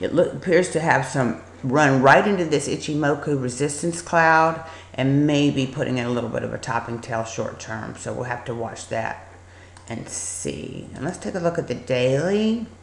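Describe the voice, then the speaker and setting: A woman with a very deep, low pitch and vocal fry talks at a moderate pace with lively intonation. The room echo is audible. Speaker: stock market educator. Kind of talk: screen-share trading tutorial. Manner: casual, hesitant with fillers.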